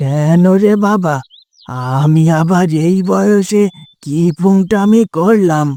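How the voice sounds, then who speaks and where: This cartoonish character voice moves at a very slow pace with very even loudness. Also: man, high pitch for a man. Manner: affectionate, folksy.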